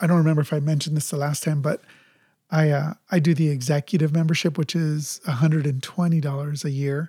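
A man's fairly high voice with a dark, mellow tone, fairly even intonation and a General American accent. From Los Angeles. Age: 50s. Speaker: podcast co-host. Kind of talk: casual chat.

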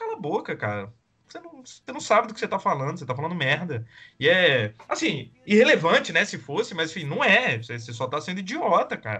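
Speaking at a fairly quick pace, a man with a high voice makes very wide pitch swings and big swings in loudness. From Espírito Santo, Brazil. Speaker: podcast co-host. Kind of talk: casual political discussion.

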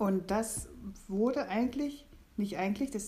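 Somewhat breathy, a woman speaks at a fairly slow pace. Her pitch variation is ordinary. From eastern Germany. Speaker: pilgrim. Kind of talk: casual chat. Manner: halting.

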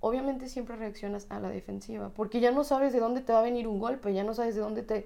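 In a Mexican accent, a woman speaks with a fairly high pitch, a dark, mellow tone and fairly even intonation. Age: 20s. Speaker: physiotherapist. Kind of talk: personal testimony interview.

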